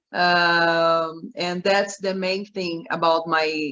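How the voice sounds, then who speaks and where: Speaking at a very slow pace with a Portuguese accent, a woman holds a fairly low pitch and fairly even intonation. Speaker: journalist and businesswoman. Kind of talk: online panel introduction. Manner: halting, many restarts.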